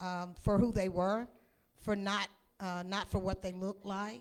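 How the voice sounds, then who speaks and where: A woman's voice with a Tennessee accent. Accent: US Southern (Tennessee). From Middle Tennessee (Lynchburg). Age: 60s. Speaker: whiskey brand representative. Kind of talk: presentation at tasting event.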